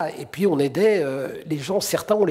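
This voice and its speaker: His tone comes across dark and mellow. The man keeps a moderate pace. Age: 70s. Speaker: human rights activist. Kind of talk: testimony. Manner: halting, with frequent hesitations.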